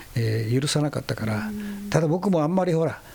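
A fairly high-pitched man talks at a fairly quick pace with lively intonation. Noticeable background noise is present. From Okinawa, northern rural village. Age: 60s. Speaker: basketball coach. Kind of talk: interview. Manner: animated.

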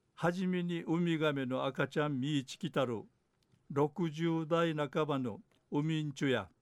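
In a quiet background, a man with a plain, everyday voice speaks at a fairly slow pace, with a fairly high pitch and ordinary pitch variation. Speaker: dialect news presenter. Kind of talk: news reading.

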